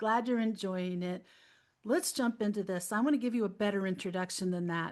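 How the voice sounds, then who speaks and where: A woman's unremarkable speaking voice, medium in pitch with ordinary pitch variation, at a fairly quick pace against a quiet background. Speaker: podcast host, angel communicator. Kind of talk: podcast intro.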